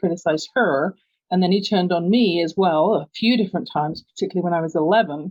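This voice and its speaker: A woman with an English accent at medium pitch, fairly quick in pace, with ordinary pitch variation. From London, England. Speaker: business coach. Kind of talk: podcast interview.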